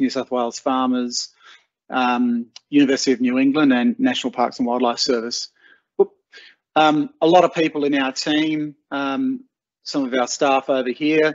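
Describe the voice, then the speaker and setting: A man speaks in a flat, monotone way. The background is quiet. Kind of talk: webinar presentation. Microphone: video call.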